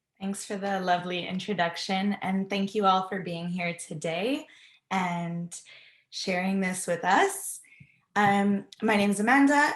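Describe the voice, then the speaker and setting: With a plain, everyday voice, a woman talks at a fairly slow pace and medium pitch with fairly even intonation. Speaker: research assistant and meditation instructor. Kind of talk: guided meditation.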